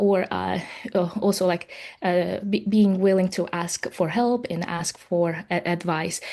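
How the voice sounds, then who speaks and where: With an Uzbek accent, a woman speaks at a fairly slow pace and medium pitch, her intonation fairly even and her tone dark and mellow. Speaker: software professional. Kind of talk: webinar panel talk. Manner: halting, many fillers.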